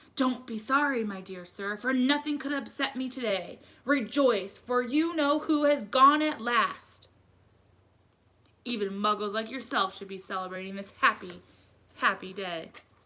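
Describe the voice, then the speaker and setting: A woman puts on a squeaky character voice at fairly high pitch. She moves at a moderate pace with lively intonation. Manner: joyful, exuberant.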